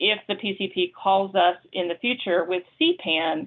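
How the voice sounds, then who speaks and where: Speaking at a fairly slow pace, a woman has an unremarkable speaking voice. Her pitch is medium, with ordinary pitch variation. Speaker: meeting presenter, consortium staff. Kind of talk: committee meeting update.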